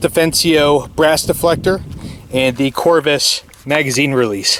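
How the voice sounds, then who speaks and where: This man's pitch sits fairly high, with ordinary variation. He talks at a fairly slow pace over noticeable background noise. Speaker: gun channel host. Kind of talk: casual tutorial. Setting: outdoors. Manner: loud.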